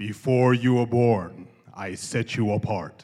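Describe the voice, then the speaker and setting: The man talks at a fairly slow pace. His put-on character voice sits at a medium pitch. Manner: solemn, booming.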